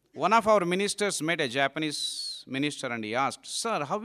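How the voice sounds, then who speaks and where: The voice has an Indian accent, a bright, sharp tone and very wide pitch swings at a moderate pace. The recording is very clean, with a silent background. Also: man. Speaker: monk giving a talk. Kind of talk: lecture to young audience. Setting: hall with live audience.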